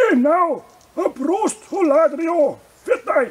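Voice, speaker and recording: Using a cartoonish character voice, a man speaks at a very slow pace with an extremely high pitch. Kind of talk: comedic puppet skit advertising a brewery festival. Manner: rhyming, jolly.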